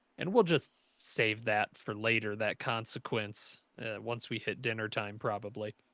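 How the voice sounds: The man's fairly low voice has a fairly bright tone, ordinary pitch variation and a moderate pace.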